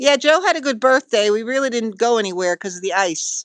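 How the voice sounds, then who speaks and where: The speaker has a New Jersey accent and moves at a moderate pace. The background is quiet. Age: old. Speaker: retired visitor reading livestream chat. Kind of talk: casual chat on a livestream.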